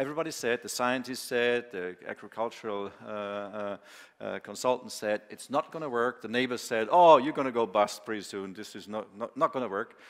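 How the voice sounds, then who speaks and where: A man with a Bavarian accent talks at a fairly quick pace and medium pitch. His pitch varies in an ordinary way, while his loudness swings widely. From Bavaria, southern Germany. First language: German. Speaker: farmer and machinery company founder. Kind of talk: conference talk. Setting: conference with audience. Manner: casual, filler-heavy with many hesitations.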